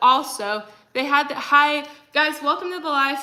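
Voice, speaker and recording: There is audible room echo as a woman speaks. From Texas. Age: 20s. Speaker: livestreamer. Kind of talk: casual chat. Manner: frequent fillers, like and um.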